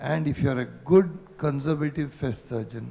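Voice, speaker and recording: The man's tone is dark and mellow, with a somewhat breathy quality. He keeps a moderate tempo. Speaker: ENT surgeon. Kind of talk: conference panel discussion.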